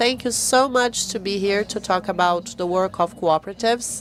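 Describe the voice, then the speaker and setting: A woman's pitch rises and falls in an ordinary way as noticeable noise sits behind her. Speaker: foundation representative, panelist. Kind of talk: panel talk.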